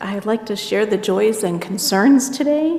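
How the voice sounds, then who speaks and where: Amid noticeable background noise and audible room echo, a woman speaks at a very slow pace with ordinary pitch variation. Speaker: pastoral care associate. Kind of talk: church announcements. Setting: church service.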